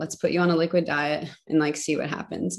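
A woman with a plain, everyday voice speaks at a fairly quick pace, her pitch fairly low and her intonation fairly even, over a quiet background. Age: 30s. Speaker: missionary. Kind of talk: casual chat.

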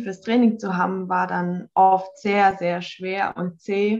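In monotone, flat intonation, a woman speaks at a very slow pace and a medium pitch. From Baden-Württemberg, Hockenheim. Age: 30s. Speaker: organic farmer. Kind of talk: personal testimony interview. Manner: halting, many fillers.

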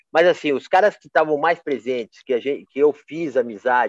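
This man's fairly high voice sounds dry and close, with no echo. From Brazil, Campinas (São Paulo state). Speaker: photographer. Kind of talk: casual interview. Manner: halting, with many repetitions and fillers.

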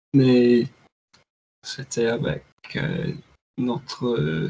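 An English accent marks this man's somewhat breathy, dark, mellow voice at a medium pitch. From northeast England. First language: English (speaking French). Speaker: software engineer. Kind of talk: casual chat. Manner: halting.

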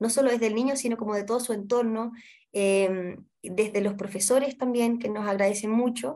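A woman's fairly high voice with a dark, mellow tone, moderate pace and fairly even intonation. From Chile, Santiago. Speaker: literacy nonprofit coordinator and tutor. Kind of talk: interview.

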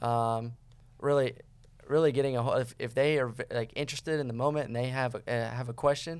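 A man speaks at medium pitch and a moderate pace with fairly even intonation. The recording is very clean with a silent background. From Florida. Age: 30s. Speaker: army recruiter. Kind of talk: interview. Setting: studio.

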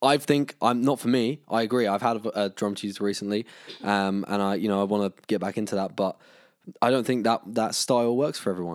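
At a fairly quick pace, a man speaks with a plain, everyday voice, fairly low in pitch. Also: very clean recording, silent background. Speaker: podcast host and band member. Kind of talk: casual interview chat.

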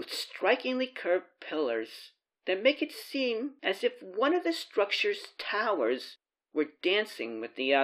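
A natural reading voice comes across over a quiet background.

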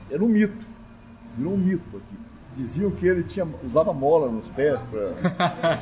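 Moderate pace and very wide pitch swings from a man with a high voice. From southern Minas Gerais, Brazil. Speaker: folklore association co-founder and cachaça judge. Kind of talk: casual interview, storytelling.

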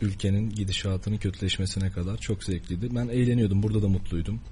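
Somewhat breathy and dark, mellow in tone, a man speaks at a moderate pace with fairly low pitch and fairly even intonation. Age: 20s. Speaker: journalism student. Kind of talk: radio interview.

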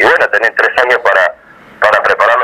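A man's speech comes with noticeable background noise. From Argentina, Avellaneda (Buenos Aires). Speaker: youth political activist. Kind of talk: radio interview.

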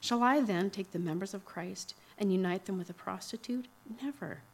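A woman talks at a fairly quick pace in an unremarkable speaking voice. Her pitch is medium, with ordinary variation. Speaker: scripture reader. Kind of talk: reading aloud. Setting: church.

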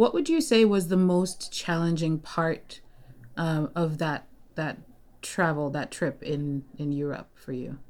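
Fairly slow and fairly low, a woman speaks in an unremarkable speaking voice with ordinary pitch variation. The recording is very clean with a silent background. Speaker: podcast host and language learner. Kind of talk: interview, casual chat.

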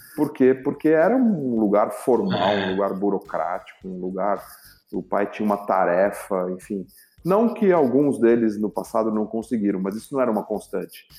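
Here a man talks at a moderate pace with medium pitch. His tone is dark and mellow. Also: lively intonation. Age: 50s. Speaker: corporate executive and entrepreneur. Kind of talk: interview.

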